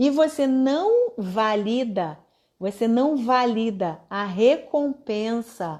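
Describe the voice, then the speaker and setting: With a normal speaking voice, a woman uses lively intonation at a fairly high pitch. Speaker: online course instructor. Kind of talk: live online class.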